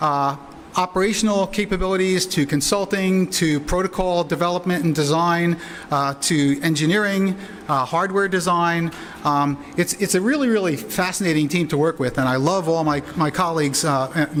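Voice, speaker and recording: A man with a high pitch speaks with ordinary pitch variation and very even loudness amid noticeable background noise. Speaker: internet security expert. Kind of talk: conference presentation. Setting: conference with interpreters. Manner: hesitant, many fillers.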